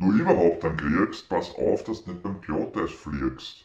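A man speaks with a Viennese accent and ordinary pitch variation. The background is quiet, but there is audible room echo. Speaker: mechanics teacher. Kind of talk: poetry reading. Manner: contemplative, lilting. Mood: festive, humorous. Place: home room. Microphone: phone near.

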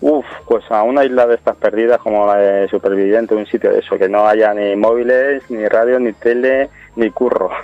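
Noticeable background noise sits behind a man with a medium pitch. His loudness stays very even and his intonation fairly even. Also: moderate pace. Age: 30s. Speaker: reality TV participant and amateur actor. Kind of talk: radio interview.

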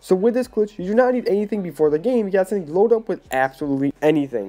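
A man talks at a very fast pace with lively intonation. His pitch is high, and his tone is dark and mellow. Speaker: gaming youtuber. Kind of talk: gameplay tutorial.

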